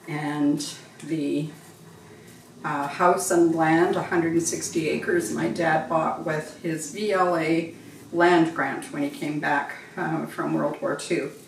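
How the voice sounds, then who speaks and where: Through audible room echo and noticeable background noise, a woman with a Western Canadian accent speaks very slowly in a very deep, low pitch with fairly even intonation. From western Canada (Golden, British Columbia). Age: 70s. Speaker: cooking channel host. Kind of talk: casual cooking tutorial with personal stories.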